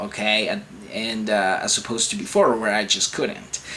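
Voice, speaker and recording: A man is talking here. The recording carries noticeable background noise. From Venezuela. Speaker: chronic illness vlogger. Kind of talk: casual vlog advice. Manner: halting, many fillers and restarts.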